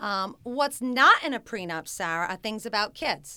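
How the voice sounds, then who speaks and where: Her voice is fairly high, with a bright, sharp tone. The woman speaks at a moderate pace in an American accent. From Rhode Island, US. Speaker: family law attorney. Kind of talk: interview.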